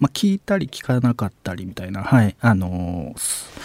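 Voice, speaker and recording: A man speaks at a moderate pace with a dark, mellow tone in a dry, close recording with no echo. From Mie Prefecture, Japan. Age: 30s. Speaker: contemporary artist. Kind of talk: casual radio interview. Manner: hesitant, many fillers.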